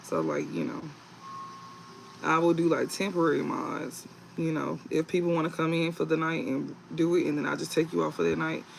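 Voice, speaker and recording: A man talks at a fairly quick pace with long, frequent pauses over noticeable background noise. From US South, Mississippi / New Orleans. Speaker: tarot reader, livestreamer. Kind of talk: livestream chat with viewers.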